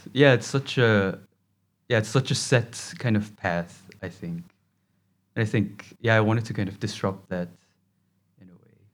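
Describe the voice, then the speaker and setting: A man with a Korean accent speaks at a moderate pace and fairly low pitch, with ordinary pitch variation. Long, frequent pauses and big swings in loudness stand out in a very clean recording, silent background. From South Korea. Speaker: fashion design graduate. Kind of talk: interview. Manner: halting.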